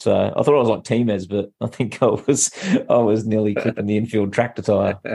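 A man with an Australian accent at a fairly quick pace, medium in pitch, monotone and flat in intonation, his loudness very even. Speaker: podcast co-host. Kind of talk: casual chat.

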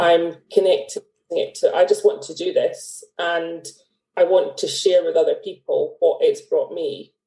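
This woman has a Scottish accent. She talks at a moderate speed. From Scotland. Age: 40s. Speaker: artist, former accountant. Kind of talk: casual interview chat. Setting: video call.

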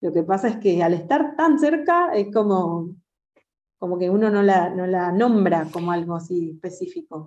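The speaker goes at a fairly slow pace with lively intonation. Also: woman, medium pitch for a woman. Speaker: jazz singer. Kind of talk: interview. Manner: halting.

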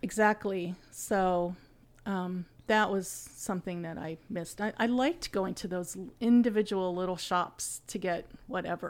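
A woman speaks at a medium pitch and a fairly slow pace, with fairly even intonation. The recording is very clean, with a silent background. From central Ohio, US. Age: 60s. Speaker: host's mother, guest. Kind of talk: casual chat.

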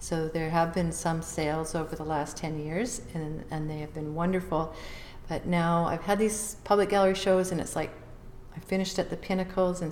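A woman with a Canadian accent talks at a moderate pace, her pitch fairly low and her intonation fairly even. Audible room echo surrounds her voice. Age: 60s. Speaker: visual artist and author. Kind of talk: interview.

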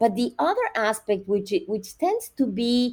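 At a moderate pace, a woman talks with a Spanish accent. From Nicaragua. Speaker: university professor. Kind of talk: educational interview.

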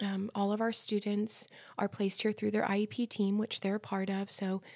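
A woman speaks at a medium pitch and a moderate pace. Her intonation is monotone and flat, and the sound is dry and close with no echo. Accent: American. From New Jersey. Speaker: special education instructor. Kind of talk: casual interview.

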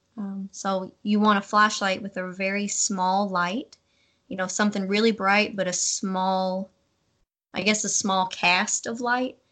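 A woman with a Kentucky accent speaks at a fairly slow pace in a bright, sharp tone with monotone, flat intonation over a quiet background. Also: medium pitch for a woman. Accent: Kentucky Southern US. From US South, western Kentucky. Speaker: hunter. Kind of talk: casual interview.

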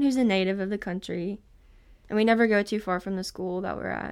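Over a very clean recording with a silent background, a woman speaks in a Southern US accent. Her pitch is medium and her pace moderate. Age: 20s. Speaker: college student going on a mission trip. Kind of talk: casual interview.

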